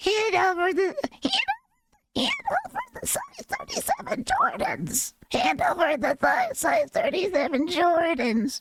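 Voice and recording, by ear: In a put-on character voice that is squeaky and extremely high in pitch, the speaker goes at a fairly slow pace with hardly any pauses.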